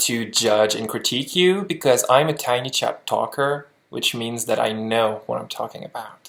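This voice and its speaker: With a French Canadian accent, a man talks at medium pitch and a moderate pace. His pitch varies in an ordinary way. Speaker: lip sync competition judge. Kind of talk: video critique.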